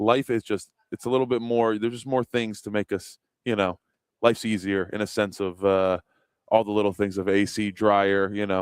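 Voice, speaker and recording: The recording is very clean, with a silent background and a dry, close sound with no echo. A man speaks at a fairly low pitch and moderate pace in a slight Baltimore accent. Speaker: guest co-host. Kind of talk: casual chat. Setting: live stream from a restaurant.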